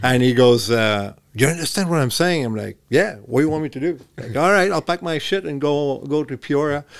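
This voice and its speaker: A man with a French Canadian accent and fairly high pitch speaks at a fairly quick pace with lively intonation and hardly any pauses. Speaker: former hockey player and coach. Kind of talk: casual chat. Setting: studio.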